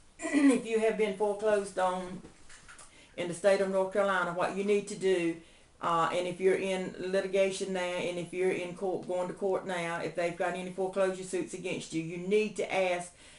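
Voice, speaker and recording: In a room with audible echo and noticeable background noise, a woman speaks at medium pitch and a moderate pace in a flat monotone. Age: 70s. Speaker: homeowner activist. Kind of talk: public appeal. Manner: halting.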